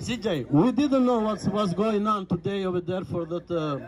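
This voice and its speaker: A man with a non-native accent speaks at a moderate pace. Noticeable background noise runs under his voice. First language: not English. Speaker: truck driver. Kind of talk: public address. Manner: halting.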